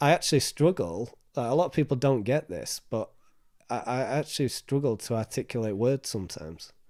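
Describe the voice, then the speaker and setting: With a northern English accent, a man talks fairly quickly at medium pitch and with lively intonation, in a very clean recording with a silent background. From northern England. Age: 30s. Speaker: mental health charity trustee. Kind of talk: interview. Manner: repetitive, halting.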